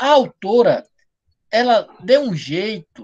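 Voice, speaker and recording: This man's pitch varies in an ordinary way. His sound is dry and close, with no echo. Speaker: writing teacher. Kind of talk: online live class. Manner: fast, slurred diction.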